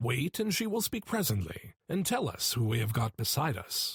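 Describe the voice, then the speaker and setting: Using a put-on character voice, a man of medium pitch talks at a moderate pace with very wide pitch swings and very even loudness. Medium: read story. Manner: whispering.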